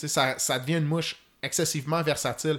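In a very clean recording with a silent background, a man with an ordinary speaking voice talks at a fairly quick pace, his pitch fairly high. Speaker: fly fishing expert. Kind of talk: technical podcast interview.

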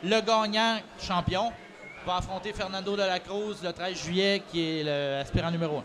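A man speaks with a Quebec accent at a fairly slow pace, his pitch high. Noticeable background noise runs under the recording. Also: ordinary pitch variation. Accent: Québécois French. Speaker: wrestling promoter. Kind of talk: casual chat. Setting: recording at a convention.

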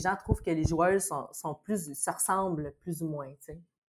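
A woman's fairly low pitch, ordinary pitch variation, a fairly slow pace, and a normal speaking voice. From Quebec, Saint-Bruno on Montreal's South Shore. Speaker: actress, tennis enthusiast. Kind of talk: casual chat.

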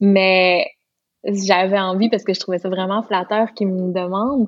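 A woman's medium-pitched voice with a Lac-Saint-Jean accent and fairly even intonation. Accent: Lac-Saint-Jean Quebec French. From Quebec, Lac-Saint-Jean. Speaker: singer and hairdresser. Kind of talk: interview.

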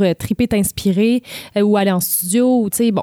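A woman with a dark, mellow tone at a fairly quick pace, with ordinary pitch variation and a dry, close sound with no echo. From Quebec, Charlevoix (Baie-Saint-Paul). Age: 20s. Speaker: singer-songwriter. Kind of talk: interview. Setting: studio.

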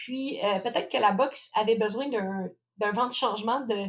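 A woman's fairly high voice in a Quebec accent, with fairly even intonation. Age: 30s. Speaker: professional boxer. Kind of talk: interview.

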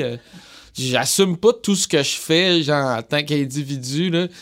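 Speaking at a fairly slow pace, a man uses a fairly high pitch and lively intonation. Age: 20s. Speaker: musician. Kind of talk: casual interview chat.

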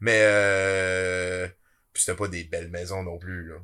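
Recorded very cleanly against a silent background, a man speaks with a fairly low pitch and a bright, sharp tone. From Quebec, Abitibi. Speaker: podcast host and web creator. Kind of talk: casual chat.

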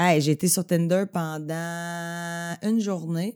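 A woman's fairly low-pitched voice with a Quebec accent, in a very clean recording with a silent background. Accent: Québécois French. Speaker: podcaster and comedy writer. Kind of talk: casual chat.

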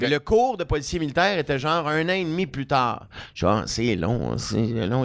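A man with a fairly high pitch and vocal fry swings his pitch very widely. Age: 40s. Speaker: comedian and radio host. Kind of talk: casual chat.

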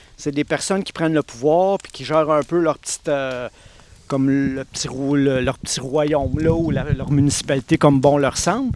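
A man with a fairly high pitch and fairly even intonation speaks at a moderate pace, his loudness swinging widely over noticeable background noise. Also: dry, close sound with no echo. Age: 40s. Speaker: municipal election candidate. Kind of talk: panel discussion.

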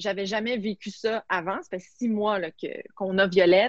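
A woman speaks at a medium pitch with fairly even intonation, her voice dry and close with no echo. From Quebec, Montreal. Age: 30s. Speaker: sports journalist and TV host. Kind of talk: casual interview.

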